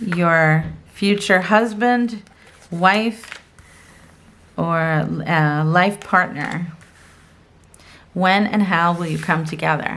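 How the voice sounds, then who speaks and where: A woman's pitch sits in the medium range and varies in an ordinary way. She talks at a very slow pace. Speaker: tarot card reader. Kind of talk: pick-a-card tarot reading. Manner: casual, hesitant with fillers.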